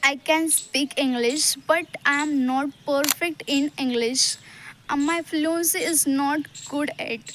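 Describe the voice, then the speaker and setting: A high-pitched woman with an Indian accent, very slow and fairly even in intonation, with long, frequent pauses. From Maharashtra, India. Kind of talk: casual talk to camera. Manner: hesitant, many fillers.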